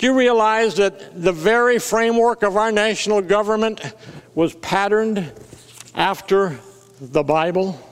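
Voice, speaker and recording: A man's high-pitched voice at a fairly slow pace, with very even loudness, ordinary pitch variation and noticeable background noise. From US Midwest (South Dakota). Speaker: pastor. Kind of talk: sermon.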